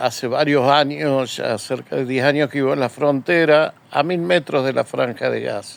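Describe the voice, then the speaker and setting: Speaking at a moderate pace, a man leaves hardly any pauses. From Argentina, Córdoba. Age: 60s. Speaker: journalist. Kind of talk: political commentary monologue. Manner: hesitant, frequent fillers.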